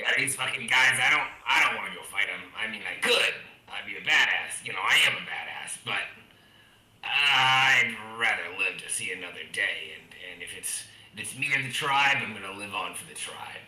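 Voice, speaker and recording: A man of medium pitch puts on a character voice, with audible echo around it. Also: moderate pace, big swings in loudness. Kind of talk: coarse. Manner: boastful, defensive.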